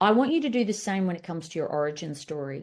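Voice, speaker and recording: Against a quiet background, a woman speaks at medium pitch with a dark, mellow tone. Her intonation is lively. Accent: Australian. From Australia, far north Queensland. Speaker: business founder and workshop presenter. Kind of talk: workshop presentation. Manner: casual with filler words.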